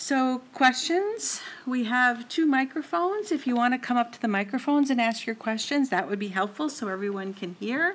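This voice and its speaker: A woman speaks in a high voice at a moderate pace. She hardly pauses at all. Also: lively intonation. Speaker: university associate dean and moderator; moderator. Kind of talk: formal introduction and Q&A moderation. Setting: stage with audience. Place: hall. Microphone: podium.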